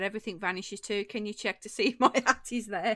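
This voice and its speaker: The speaker has an English accent and a bright, sharp tone at a fairly quick pace. Pitch variation is ordinary, on a very clean recording with a silent background. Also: woman, dry, close sound with no echo. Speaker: craft live streamer. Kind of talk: casual chat with live chat viewers. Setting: live stream.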